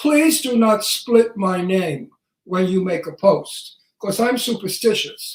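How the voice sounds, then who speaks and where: Speaking at a very slow pace, this man has a high pitch, lively intonation and a Brooklyn accent. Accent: Brooklyn New York. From Brooklyn, New York. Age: 80s+. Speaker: talk show co-host, actor. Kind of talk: casual chat. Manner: animated.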